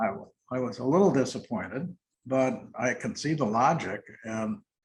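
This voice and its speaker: A man talks with an American accent. His voice is somewhat breathy. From Milwaukee, Wisconsin, USA. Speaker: retired corporate CEO and nonprofit board chair. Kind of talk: oral history interview answer. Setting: interview recording.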